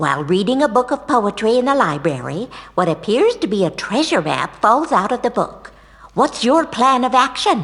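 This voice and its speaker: A female-sounding voice pitched high for a woman. It is a put-on character voice. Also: moderate pace. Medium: video game. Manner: sugary, condescending.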